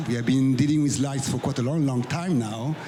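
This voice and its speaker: A man's fairly high voice in a French accent, with fairly even intonation, audible room echo and noticeable background noise. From France. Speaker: business executive. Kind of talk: panel discussion.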